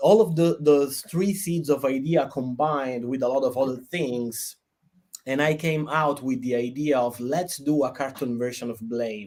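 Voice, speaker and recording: In an Italian accent, a man talks at a moderate pace with a medium pitch and ordinary pitch variation. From Italy. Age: 30s. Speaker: game developer and cartoonist. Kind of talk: interview.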